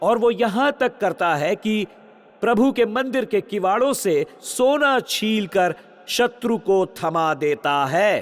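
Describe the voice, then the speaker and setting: With lively intonation and very even loudness, a man speaks in a high voice. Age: 60s. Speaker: pastor. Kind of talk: sermon. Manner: animated.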